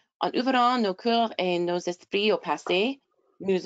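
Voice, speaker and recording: Against a quiet background, a woman of medium pitch speaks at a very slow pace, the sound dry and close with no echo. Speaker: webinar moderator. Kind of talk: reading prepared notes aloud. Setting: online webinar. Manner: halting, stumbling over words.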